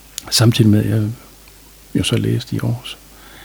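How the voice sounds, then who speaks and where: Over noticeable background noise, a man speaks calmly at a moderate pace and medium pitch. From North Jutland, Denmark (Aalbæk). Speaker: general practitioner. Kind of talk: interview. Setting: studio.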